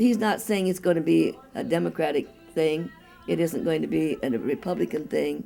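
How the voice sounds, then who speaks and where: With music in the background, a woman's speech proceeds at a moderate pace. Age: 80s+. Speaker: campaign precinct captain. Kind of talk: interview answer.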